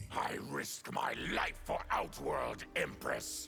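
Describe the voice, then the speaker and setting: Clear music plays in the background as a man puts on a growling character voice. He speaks at a very slow pace. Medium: video game. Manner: harsh, bitter.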